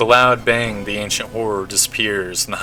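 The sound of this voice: An unforced reading voice carries the recording.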